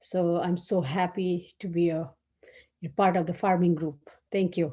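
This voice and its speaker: A woman speaks at a moderate pace, her pitch fairly low and her tone dark and mellow. She sounds somewhat breathy, with fairly even intonation. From Nepal. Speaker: farmer. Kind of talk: workshop presentation.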